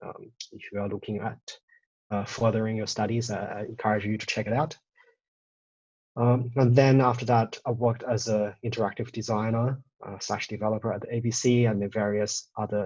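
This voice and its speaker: A somewhat breathy man talks with monotone, flat intonation and big swings in loudness. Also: medium pitch for a man. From China, moved to Australia at 13. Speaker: data visualisation designer and studio co-founder. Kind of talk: presentation talk. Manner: halting, many fillers and restarts.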